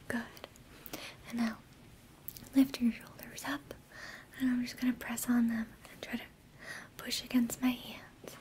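A woman whispers at a moderate pace, with long, frequent pauses and big swings in loudness. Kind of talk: roleplay exam talk to the viewer. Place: home room.

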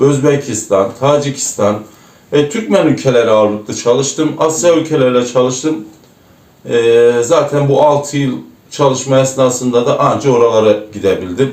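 A man with an Erzurum accent speaks at a medium pitch and moderate pace, with ordinary pitch variation and very even loudness. Audible room echo and noticeable background noise are present. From Turkey, Erzurum. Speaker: former truck driver. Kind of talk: interview. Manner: hesitant, frequent fillers.

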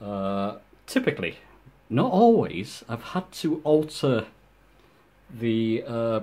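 A man with a dark, mellow tone speaks at medium pitch and a very slow pace. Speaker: YouTuber showing gaming setup. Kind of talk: casual tutorial walkthrough. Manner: hesitant, many fillers. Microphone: phone near.

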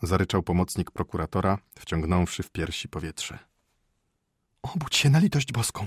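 A man speaks in a fairly low, somewhat breathy voice with an animated, theatrical tone and very wide pitch swings. The sound is dry and close with no echo, on a very clean recording with a silent background. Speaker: audiobook narrator. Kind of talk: dramatic audiobook narration of a short story, reading aloud with character voices. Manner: measured, ironic storytelling pace with comic timing.

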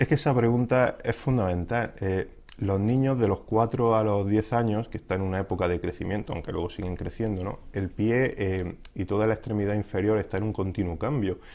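At a moderate pace with hardly any pauses, a man speaks with a fairly low pitch, a dark, mellow tone, and ordinary pitch variation. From Spain. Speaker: podiatrist; interviewee. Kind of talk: interview. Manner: halting, many fillers. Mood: calm, explanatory. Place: studio. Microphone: lapel.

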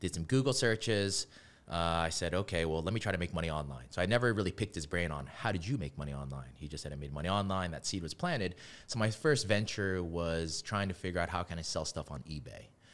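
The delivery is very fast. Its intonation is lively. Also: man, very deep, low pitch for a man. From New Orleans, Louisiana. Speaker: digital marketing agency founder; podcast guest. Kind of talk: podcast interview; interview answer. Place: studio. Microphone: studio mic.

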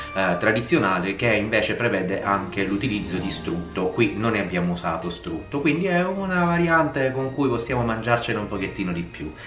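Over faint music in the background and audible room echo, a man with a fairly low pitch talks at a fairly quick pace with hardly any pauses. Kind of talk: cooking tutorial. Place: kitchen.

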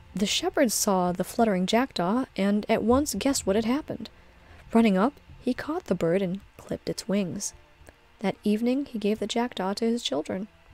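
At a moderate pace, a woman speaks in a calm tone with ordinary pitch variation, her dry sound carrying no echo over faint background music. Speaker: streamer and storyteller; streamer, storyteller. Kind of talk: reading aloud. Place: home room.

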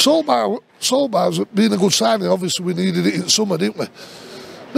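A man with a South Yorkshire accent is heard in a dry sound with no echo over light background noise. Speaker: football fan vlogger. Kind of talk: angry rant; post-match fan reaction rant. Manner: angry, sweary, ranting; frustrated, halting. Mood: angry, frustrated ranting. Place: stadium.

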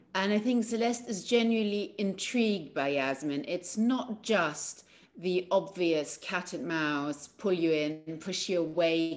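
Using an ordinary speaking voice, a woman talks at a fairly slow pace with lively intonation. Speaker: actor in remote press interview. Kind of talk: interview answer. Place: home room. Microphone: video call.

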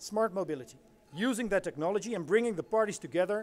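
A man with a Dutch accent, high in pitch with lively intonation. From Netherlands. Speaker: deputy mayor for transport. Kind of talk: conference presentation. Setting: stage with audience. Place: hall. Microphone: podium.

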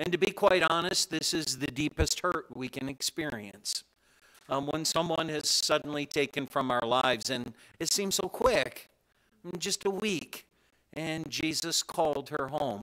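A man talks at a fairly slow pace with a bright, sharp tone. His pitch varies in an ordinary way, and the background is quiet. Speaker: officiant pastor. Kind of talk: funeral sermon. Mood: gentle, comforting. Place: hall. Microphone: podium.

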